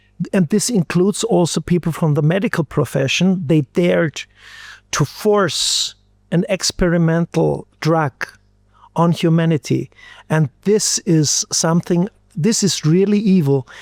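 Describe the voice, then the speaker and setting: In an Austrian accent, a man with a high pitch talks at a fairly slow pace with ordinary pitch variation and very even loudness, the sound dry and close with no echo. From Austria, Styria. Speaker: physician and microbiologist. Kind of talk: interview. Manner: halting, many fillers and repetitions.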